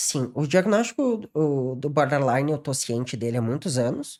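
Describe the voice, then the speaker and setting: On a very clean recording with a silent background, a man talks with lively intonation. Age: 30s. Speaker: psychologist. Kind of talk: podcast interview. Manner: halting, repeats words.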